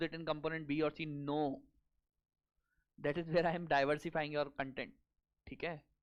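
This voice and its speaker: With an Indian accent, a man speaks at a fairly quick pace. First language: Hindi. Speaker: exam coaching teacher. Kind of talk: lecture. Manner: code-switching Hindi and English.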